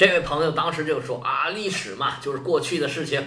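The pace is moderate and room echo can be heard. Background noise is noticeable throughout. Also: man. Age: 50s. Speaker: history podcaster. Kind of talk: history storytelling monologue.

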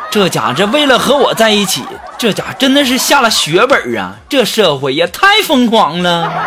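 A raised, projected voice with very wide pitch swings comes at a moderate pace through noticeable background noise. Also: man, high pitch for a man. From Jilin, northeast China. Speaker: podcast host. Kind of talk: comedic storytelling. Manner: animated.

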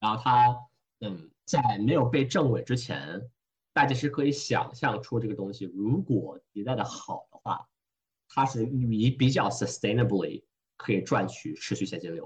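A man's somewhat breathy, medium-pitched voice at a fairly slow pace, with ordinary pitch variation and big swings in loudness. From Hong Kong. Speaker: venture investor. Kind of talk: casual interview. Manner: code-switching with English phrases.

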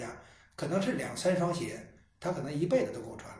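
Amid noticeable background noise and audible room echo, a man with a fairly high pitch talks at a very fast pace. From Beijing. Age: 50s. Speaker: shoemaker and business founder. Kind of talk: casual chat.

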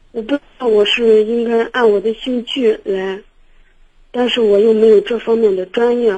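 Her pitch fairly high for a woman, she speaks in a dark, mellow tone with fairly even intonation. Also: moderate pace. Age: 20s. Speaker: caller. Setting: phone call. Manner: halting, hesitant.

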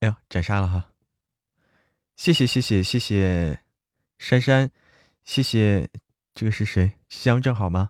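Very slowly and with long, frequent pauses, a man talks at a fairly low pitch with ordinary pitch variation. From northern China (Hebei). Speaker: livestreamer and audiobook voice actor. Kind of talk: casual livestream chat. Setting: livestream. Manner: chatty.

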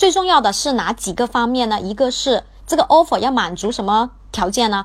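Very wide pitch swings at a fairly quick pace. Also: woman. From Guangzhou, China. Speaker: English teacher. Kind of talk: livestream lesson. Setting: livestream.

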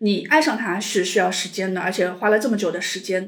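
A woman's calm voice at a fairly quick pace, with audible room echo. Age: 40s. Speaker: divorced mother sharing her story. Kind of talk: personal story interview.

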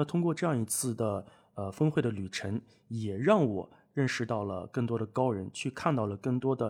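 This is a normal speaking voice at a fairly quick pace. The recording is very clean with a silent background. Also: man. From northwest China. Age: 20s. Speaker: guest, online speaking coach. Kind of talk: casual chat. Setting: at host's home.

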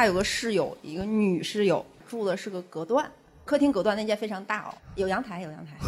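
Delivery is fairly quick, with noticeable background noise underneath. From Heilongjiang, northeast China. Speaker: comedian. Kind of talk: casual chat. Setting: stage with audience.

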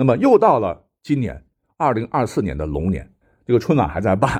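A man is speaking. His voice has vocal fry. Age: 40s. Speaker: history podcaster. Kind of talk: storytelling in a casual interview.

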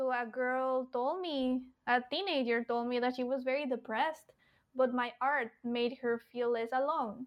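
A woman with a Spanish accent, high-pitched, with fairly even intonation, a fairly slow pace and very even loudness. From Mexico. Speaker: cartoonist and children's book author. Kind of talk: interview conversation.

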